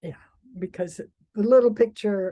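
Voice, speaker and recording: The voice carries a dark, mellow tone with fairly even intonation. The sound is dry and close, with no echo. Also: woman. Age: 80s+. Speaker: independent researcher and peace activist. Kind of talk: interview conversation. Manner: halting.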